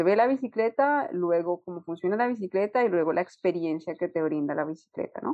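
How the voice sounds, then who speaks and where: A woman talks at a fairly quick pace. Her pitch is fairly low and her intonation lively. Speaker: UX designer. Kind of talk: interview. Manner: halting, repeats words.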